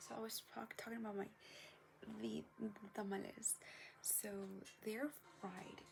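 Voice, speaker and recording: This woman's delivery comes at a moderate pace, with noticeable background noise behind her. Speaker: vlogger. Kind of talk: casual vlog chat.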